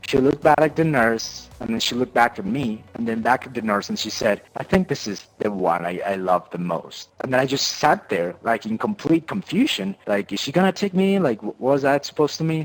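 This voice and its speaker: A man speaks at a medium pitch with very wide pitch swings, keeping a fairly quick pace with hardly any pauses. Music plays in the background. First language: not English. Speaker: gamer sharing life story. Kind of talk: personal testimony. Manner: halting, many repetitions.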